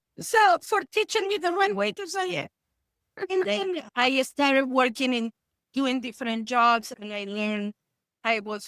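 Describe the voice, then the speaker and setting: In a dry, close sound with no echo, a woman with a high pitch and an Argentine accent speaks at a fairly slow pace with lively intonation. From Argentina. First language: Spanish. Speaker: therapist. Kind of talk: interview.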